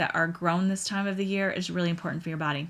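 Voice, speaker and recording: The recording is very clean, and the background is silent. Speaking at a medium pitch, a woman keeps her intonation fairly even. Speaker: podcast host. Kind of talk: casual monologue. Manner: casual, hesitant with fillers.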